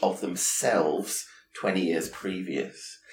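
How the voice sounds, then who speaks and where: A man with a very deep, low voice talks while noticeable noise fills the background. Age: 50s. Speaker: podcast host and hairstylist. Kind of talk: interview.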